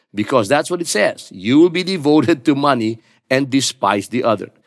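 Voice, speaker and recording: In a very clean recording with a silent background, a man with a plain, everyday voice speaks at a moderate pace and fairly high pitch with lively intonation. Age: 60s. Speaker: pastor. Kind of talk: sermon.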